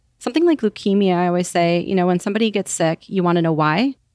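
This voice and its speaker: A woman with ordinary pitch variation on a very clean recording with a silent background, in a dry, close sound with no echo. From US Upper Midwest, Wisconsin. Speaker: caregiver. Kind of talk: interview.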